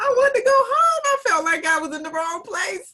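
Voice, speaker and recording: In a slight Southern US accent, a woman raises and projects her extremely high-pitched voice. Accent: slight Southern twang. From North Carolina. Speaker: teacher. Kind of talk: panel discussion.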